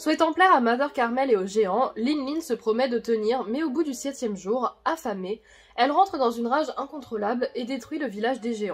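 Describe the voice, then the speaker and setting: A woman talks at a moderate pace in a high pitch. Her intonation is lively. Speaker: YouTuber explaining manga theories. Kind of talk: video commentary on manga theories.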